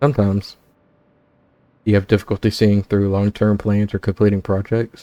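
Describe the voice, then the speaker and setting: A dark, mellow, monotone voice with flat intonation at a moderate pace, on a very clean recording with a silent background and a dry, close sound with no echo. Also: man. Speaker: gaming YouTuber. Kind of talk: let's play commentary, reading game dialogue aloud. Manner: casual, plain own voice for characters.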